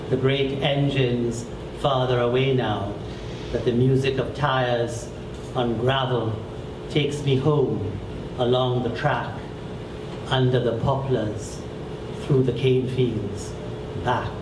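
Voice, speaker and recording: Amid noticeable background noise, a man talks in a flat monotone at a very slow pace, with long, frequent pauses. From Trinidad and Tobago. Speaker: poet and novelist; poet. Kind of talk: poetry reading. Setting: bookstore event with audience. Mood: calm, reflective. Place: shop.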